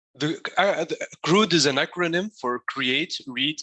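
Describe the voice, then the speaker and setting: A man with a Tunisian accent, bright and sharp in tone, with ordinary pitch variation and a dry, close sound with no echo. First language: Arabic. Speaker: coding instructor. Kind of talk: lecture. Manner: halting, many fillers.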